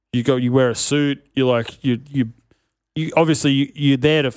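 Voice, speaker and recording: On a very clean recording with a silent background, a man speaks with an Australian accent. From Sydney northern beaches, Australia. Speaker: ex-pro skier and podcaster. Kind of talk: casual chat. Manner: animated.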